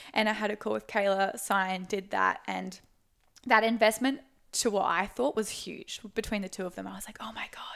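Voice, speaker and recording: A woman with an Australian accent speaks at a fairly quick pace in a medium pitch, her loudness swinging widely and her intonation fairly even, with vocal fry, on a very clean recording with a silent background. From Australia, Sunshine Coast, Queensland. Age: 20s. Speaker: online fitness coach. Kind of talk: casual chat. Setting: Airbnb in Brisbane.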